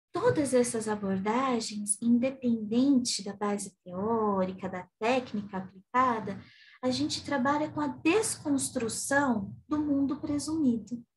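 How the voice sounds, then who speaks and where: Her pitch fairly high and her intonation lively, a woman speaks very slowly with hardly any pauses, with audible room echo. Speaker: psychotherapist and theology lecturer. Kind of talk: lecture.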